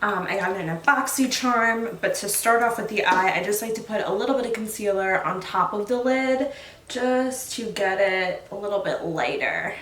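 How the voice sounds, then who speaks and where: Against noticeable background noise and audible room echo, a woman speaks at a moderate pace with a medium pitch and ordinary pitch variation. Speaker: beauty vlogger. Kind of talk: makeup tutorial. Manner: animated. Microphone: may be too quiet.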